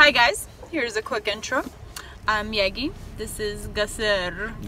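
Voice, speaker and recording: Noticeable background noise sits behind a woman speaking at a fairly slow pace. Her voice is fairly high, with ordinary pitch variation. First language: not English. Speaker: eyelash extension business owner and vlogger. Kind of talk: casual vlog chat. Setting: in a car in a parking lot. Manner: animated.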